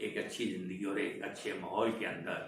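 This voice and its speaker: A man with a fairly low voice speaks, and audible room echo surrounds his words. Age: 80s+. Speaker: veteran film industry actor. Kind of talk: interview, life story. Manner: animated storytelling.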